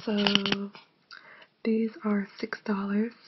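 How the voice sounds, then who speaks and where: A woman whispers. She is soft-spoken. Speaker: ASMR creator. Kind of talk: ASMR unboxing video. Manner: soft-spoken, whispering.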